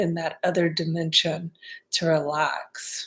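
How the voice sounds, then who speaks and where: Soft-spoken and calm in tone, the voice sits on a very clean recording with a silent background. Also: woman. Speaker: artist and card reader. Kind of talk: ASMR-style spiritual card reading. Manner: calm, soft-spoken.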